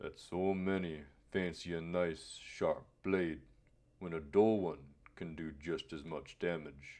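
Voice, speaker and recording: Someone puts on a growling character voice and delivers it at a fairly slow pace. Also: man, very deep, low pitch for a man. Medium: read story. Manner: measured, cryptic, formal.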